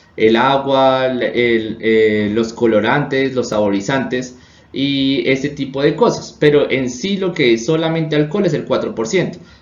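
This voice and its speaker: With audible room echo, a man at medium pitch speaks at a fairly slow pace with hardly any pauses and ordinary pitch variation. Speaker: chemistry teacher. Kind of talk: lecture. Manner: halting.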